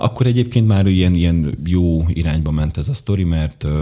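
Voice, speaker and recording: Against noticeable background noise, a man with a very deep, low voice speaks at a fairly quick pace. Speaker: bodybuilder and medical assistant. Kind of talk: casual interview chat. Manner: halting, self-interrupting, rambling.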